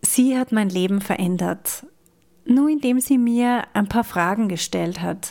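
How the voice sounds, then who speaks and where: Speaking at a very slow pace, a woman uses a fairly high pitch with ordinary pitch variation and a dark, mellow tone. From Austria. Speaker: podcast host and coach. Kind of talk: personal monologue.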